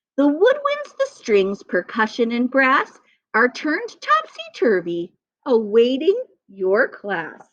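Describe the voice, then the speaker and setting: Using a put-on character voice, a woman speaks in a sing-song way with a high pitch at a fairly slow pace. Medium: read story. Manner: sly, taunting, sing-song rhyming.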